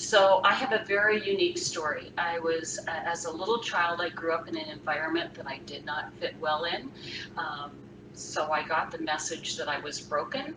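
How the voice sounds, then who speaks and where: A woman talks at a moderate pace in a fairly low voice with ordinary pitch variation. Audible room echo and noticeable background noise surround her. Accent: American. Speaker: freelance writer and author. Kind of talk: live Q&A talk. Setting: live stream.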